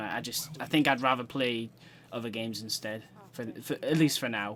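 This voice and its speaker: He speaks at a fairly quick pace in a British accent. His pitch varies in an ordinary way. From Britain. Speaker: gaming streamer. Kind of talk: live gameplay commentary. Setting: live stream.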